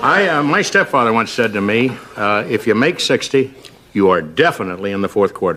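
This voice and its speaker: Noticeable background noise sits behind a man talking at a fairly quick pace. His pitch is medium, with very wide swings. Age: 60s. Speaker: talk show guest, author. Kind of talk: talk show interview.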